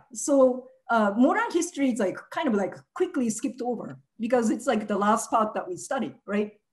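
Over a quiet background, a woman with a Japanese accent speaks at a moderate pace in a fairly high voice with lively intonation. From Japan (Nagasaki, Hiroshima). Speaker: activist; speaker. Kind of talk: presentation. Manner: halting, many fillers. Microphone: video call.

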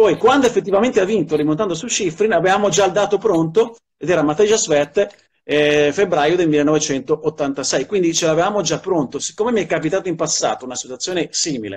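The speaker moves at a fairly quick pace with lively intonation and hardly any pauses. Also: man, high pitch for a man. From Milan. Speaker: sports journalist and commentator. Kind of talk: interview answer. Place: home room. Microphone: video call.

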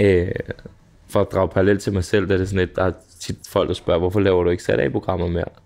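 Very fast and fairly even in intonation, a man talks at a very deep, low pitch. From Denmark. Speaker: podcast host. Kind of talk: interview. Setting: pub. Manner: casual, hesitant with fillers. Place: cafe.

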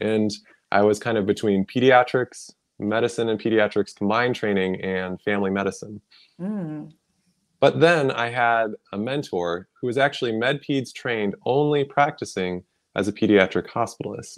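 Pausing long and often, a man talks at a moderate pace. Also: ordinary pitch variation, quiet background. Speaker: pediatrician and wellness coach. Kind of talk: interview. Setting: livestream video. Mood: friendly, animated. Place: home room. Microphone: video call.

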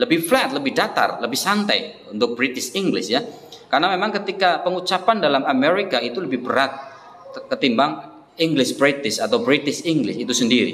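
A man talks at a high pitch. His pitch swings very wide. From Indonesia. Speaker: English teacher. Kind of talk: tutorial. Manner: repeats words slowly for practice. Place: classroom. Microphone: phone near.

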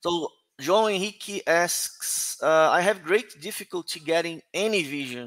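A man with a Portuguese accent speaks at a fairly slow pace in a high voice, his pitch moving in an ordinary way over a quiet background. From Brazil. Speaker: conference organizer and moderator; moderator. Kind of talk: conference moderation and Q&A. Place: home room. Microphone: headset.

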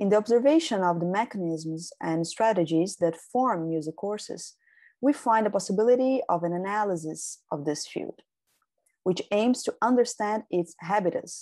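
A woman with a Brazilian Portuguese accent, medium pitch, dark, mellow tone and lively intonation, in a dry sound with no echo. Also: quiet background. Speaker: doctoral researcher. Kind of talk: conference presentation, read from script. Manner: formal. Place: home room. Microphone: webcam.

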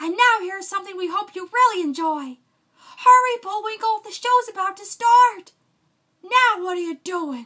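Extremely high pitch from a woman doing a cartoonish character voice, delivered at a moderate pace. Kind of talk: vintage cartoon announcer style. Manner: chipper, exasperated.

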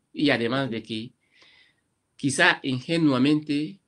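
This man's intonation is fairly even. The background behind him is quiet. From Equatorial Guinea, Malabo, Annobonese parents; Equatorial Guinea. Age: 50s. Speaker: writer; interviewee. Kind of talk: interview. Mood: earnest, reflective. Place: home room. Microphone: webcam.

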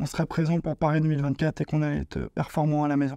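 A man talks at a fairly quick pace in a flat monotone with a dark, mellow tone. The sound is dry with no echo, and the background is quiet. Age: 30s. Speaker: para table tennis player. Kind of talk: personal testimony to camera. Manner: hesitant with fillers. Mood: calm, proud. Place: hall.

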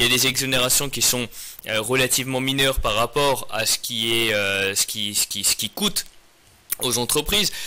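Here a man speaks at a medium pitch. His pace is moderate, with ordinary pitch variation. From France, Paris region, Iranian parents. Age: 30s. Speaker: mayor and lawyer. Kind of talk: interview. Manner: hesitant with frequent repetitions. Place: studio. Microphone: studio mic.

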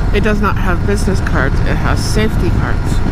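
Loud background noise fills the recording. The sound is dry with no echo. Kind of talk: casual vlog chat. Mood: relaxed, chatty. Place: motorbike. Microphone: helmet.

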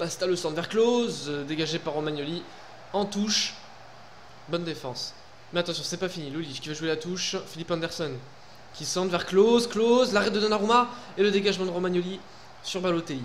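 This man has a high pitch, an animated tone and ordinary pitch variation at a fairly quick pace. He takes long, frequent pauses over light background noise. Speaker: gaming YouTuber. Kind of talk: casual gameplay commentary. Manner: animated, informal. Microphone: headset.

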